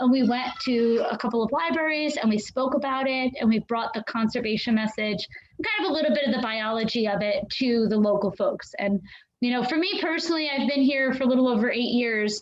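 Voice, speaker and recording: A woman talks loudly at a fairly quick pace with a high pitch and ordinary pitch variation. Background noise is noticeable. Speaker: aquarium educator. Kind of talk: live stream Q&A. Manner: hesitant with many fillers.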